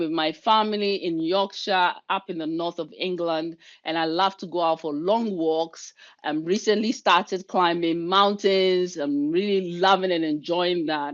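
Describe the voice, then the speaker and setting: A woman's fairly low voice at a fairly slow pace, with ordinary pitch variation and hardly any pauses. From Ghana. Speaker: leadership coach and keynote speaker. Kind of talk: webinar presentation. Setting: video call.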